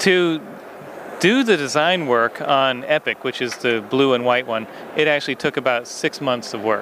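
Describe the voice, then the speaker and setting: A man's voice shows ordinary pitch variation, with noticeable noise in the background. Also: medium pitch for a man, moderate pace. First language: English (speaking German). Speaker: toy designer. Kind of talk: interview.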